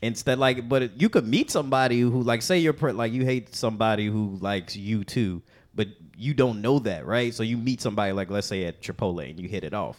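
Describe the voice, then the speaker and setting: An ordinary speaking voice with an American accent moves at a fairly quick pace with ordinary pitch variation, captured in a very clean recording against a silent background. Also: man, medium pitch for a man. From Chicago. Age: 30s. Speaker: comedian. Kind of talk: casual chat.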